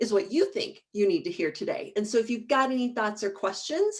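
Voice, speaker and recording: Speaking at a fairly quick pace, a woman with a fairly high pitch moves through very wide pitch swings. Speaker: marketing presentation coach. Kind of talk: webinar workshop presentation. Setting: video call from home basement. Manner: fast; animated.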